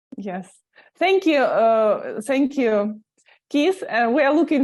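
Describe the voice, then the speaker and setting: In a Russian accent, a woman speaks very slowly with lively intonation. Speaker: language school teacher. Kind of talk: interview. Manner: halting.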